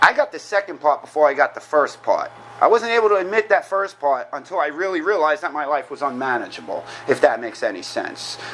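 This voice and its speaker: Talking very fast in a New York accent, a man with a high pitch sounds animated, his intonation lively over noticeable background noise. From New York (Queens). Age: 40s. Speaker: recovering alcoholic speaker. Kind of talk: recovery meeting talk. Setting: meeting room with audience.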